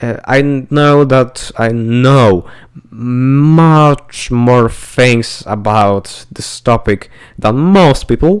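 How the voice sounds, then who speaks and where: Lively intonation marks this very slow speaker with a non-native accent. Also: man. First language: not English. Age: young. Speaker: podcast co-host. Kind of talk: casual chat. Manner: halting.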